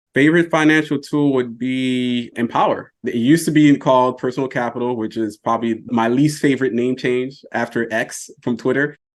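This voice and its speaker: A man with an American accent and a plain, everyday voice, medium in pitch, at a moderate pace with fairly even intonation and hardly any pauses, against a quiet background. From US South. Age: 40s. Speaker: personal finance content creator. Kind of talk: podcast interview.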